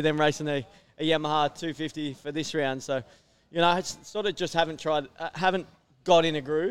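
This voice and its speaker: In a fairly quick delivery, a man with an Australian accent talks at a fairly high pitch. The recording is very clean and the background silent. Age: 30s. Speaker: motocross racer. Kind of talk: casual interview. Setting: outdoor event tent, live over PA.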